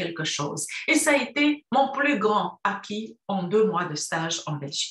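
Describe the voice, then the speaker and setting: Over a quiet background with audible room echo, a woman speaks at a fairly slow pace with very wide pitch swings. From Romania, Cluj (Transylvania). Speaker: university professor. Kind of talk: prepared talk for a university course. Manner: formal. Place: home room. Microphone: webcam.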